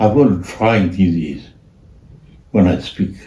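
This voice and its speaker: A man in a Burmese accent, somewhat breathy with a dark, mellow tone, at a very slow pace amid audible room echo. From Myanmar. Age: old. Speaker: artist. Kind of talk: casual chat. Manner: halting.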